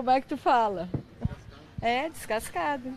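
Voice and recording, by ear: Lively intonation marks this woman's high-pitched voice at a fairly slow pace. Noticeable background noise is present.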